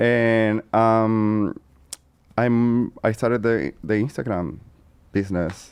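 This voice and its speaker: Speaking very slowly with long, frequent pauses, a man with a Venezuelan accent and a medium-pitched voice uses ordinary pitch variation. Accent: Venezuelan Spanish accent, noticeable. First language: Spanish. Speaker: co-host, influencer. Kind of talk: casual chat.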